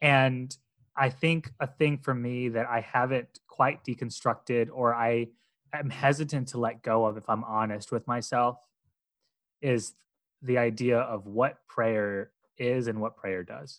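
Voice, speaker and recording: A man speaks in an ordinary speaking voice at a medium pitch, at a fairly slow pace and with fairly even intonation. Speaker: podcaster. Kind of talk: casual chat.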